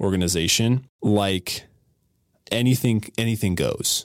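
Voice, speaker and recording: A man talks in a normal speaking voice with a fairly low pitch and ordinary pitch variation, at a fairly slow pace. The sound is dry and close, with no echo. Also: very clean recording, silent background. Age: 20s. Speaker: church youth director. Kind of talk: casual chat. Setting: studio.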